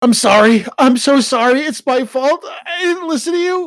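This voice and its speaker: A hoarse, croaky put-on character voice at a moderate pace. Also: man, extremely high pitch for a man. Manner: apologetic.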